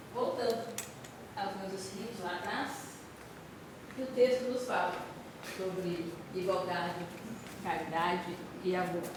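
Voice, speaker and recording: Soft-spoken and fairly slow, the speaker has ordinary pitch variation, big swings in loudness, and long, frequent pauses, with audible room echo and noticeable background noise. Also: woman. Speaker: spiritist lecturer. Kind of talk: spiritual talk. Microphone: poor speaker output, hard to hear.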